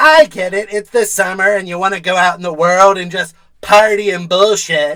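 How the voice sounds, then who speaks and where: In a cartoonish character voice, the speaker uses a middle pitch and a moderate pace. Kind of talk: comedy news satire anchor. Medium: puppet.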